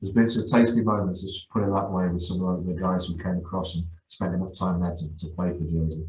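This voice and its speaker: Here is a man with a very deep, low pitch and a dark, mellow tone. He is somewhat breathy and speaks at a fairly quick pace. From Guernsey, born in northeast England. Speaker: football coach. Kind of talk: podcast interview. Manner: halting, many repetitions.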